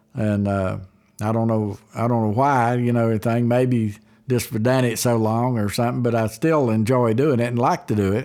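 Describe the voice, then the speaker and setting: Spoken in an Appalachian accent with fairly even intonation and very even loudness. The recording is very clean, with a silent background. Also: man, medium pitch for a man, moderate pace. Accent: Appalachian Southern US. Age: 70s. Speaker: guitar builder. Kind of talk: interview. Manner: halting.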